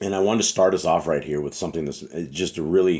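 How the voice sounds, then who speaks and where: The voice carries vocal fry along with ordinary pitch variation. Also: man. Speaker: religious teacher. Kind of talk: bible study talk. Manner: conversational.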